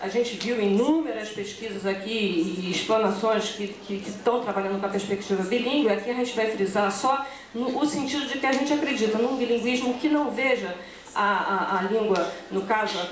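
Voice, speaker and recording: Noticeable background noise sits under the voice. The talking proceeds at a moderate pace. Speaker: conference speaker, education researcher. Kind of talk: conference presentation.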